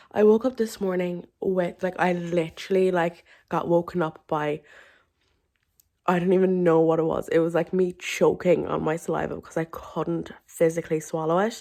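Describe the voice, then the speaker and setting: A woman with an Irish accent speaks at a moderate pace and fairly low pitch with fairly even intonation, in a very clean recording with a silent background. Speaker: vlogger. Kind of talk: casual vlog talk. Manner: rambling filler-heavy speech.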